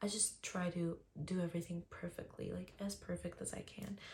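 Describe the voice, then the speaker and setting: A woman speaks with an Armenian accent at a moderate pace, her medium-pitched voice somewhat breathy. Her tone is dark and mellow, and her intonation fairly even. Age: 20s. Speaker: beauty vlogger. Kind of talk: tutorial. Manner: casual, chatty.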